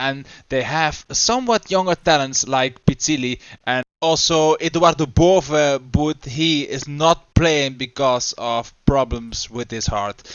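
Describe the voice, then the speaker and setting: With a Dutch accent, a man speaks at a very slow pace and with ordinary pitch variation. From Netherlands. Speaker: gaming YouTuber. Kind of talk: gameplay commentary. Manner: halting, with fillers.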